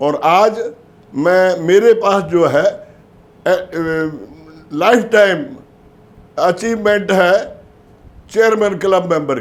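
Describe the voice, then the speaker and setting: Long, frequent pauses break up this man's speech. His voice is high-pitched, with ordinary pitch variation. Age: 80s+. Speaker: life insurance agent. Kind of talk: motivational talk.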